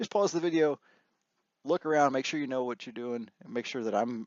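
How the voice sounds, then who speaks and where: With ordinary pitch variation, a man speaks at a very fast pace. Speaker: database trainer. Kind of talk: tutorial.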